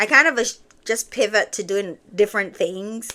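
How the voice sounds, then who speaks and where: In a very clean recording with a silent background, a woman talks in a bright, sharp tone. Her pitch is medium, with ordinary variation. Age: 40s. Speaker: wellness vlogger. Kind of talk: casual vlog monologue.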